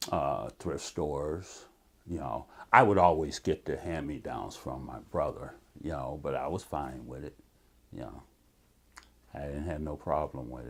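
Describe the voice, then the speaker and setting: An American accent with vocal fry, a fairly slow pace, long and frequent pauses, big swings in loudness and ordinary pitch variation. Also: man, very deep, low pitch for a man. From Cleveland, Ohio. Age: 60s. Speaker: interviewee, army veteran, community researcher. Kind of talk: oral history interview. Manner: halting, with fillers.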